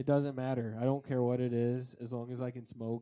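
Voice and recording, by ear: Dark, mellow tone from a man with a Colorado accent, medium pitch, monotone, flat intonation and a moderate pace. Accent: Colorado, western American.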